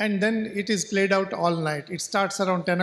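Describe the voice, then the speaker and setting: Someone with a Goan accent speaks at a moderate pace and with fairly even intonation, captured on a very clean recording with a silent background. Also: man. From coastal Karnataka, India. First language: Konkani. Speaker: novelist. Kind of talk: talk at a literature festival. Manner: halting.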